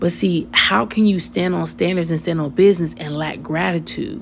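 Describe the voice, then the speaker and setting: In an American accent, a woman speaks with a very deep, low pitch. Noticeable background noise is present. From US South. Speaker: spiritual content creator. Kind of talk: casual livestream talk. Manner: fast; animated.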